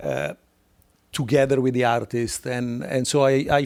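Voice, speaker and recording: A man speaks with an Italian accent in a very clean recording with a silent background. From Italy. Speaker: art curator. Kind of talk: live interview conversation. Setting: live on stage with audience. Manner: hesitant with many fillers.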